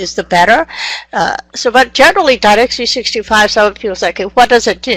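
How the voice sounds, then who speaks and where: A woman with a non-native accent talks at a very fast pace with ordinary pitch variation. The background is quiet and the sound is dry, with no echo. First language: not English. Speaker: software trainer. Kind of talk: online training session. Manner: energetic. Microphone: video call.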